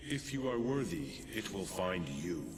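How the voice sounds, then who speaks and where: A man uses a put-on character voice with a very deep, low pitch at a moderate pace. Loud background noise and a clear echo fill the recording. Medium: game stream. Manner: archaic, formal and commanding.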